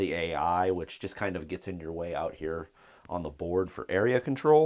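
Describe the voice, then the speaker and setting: The speaker is a man whose pitch is very deep and low. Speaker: board game reviewer. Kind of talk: solo board game playthrough. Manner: casual, many fillers.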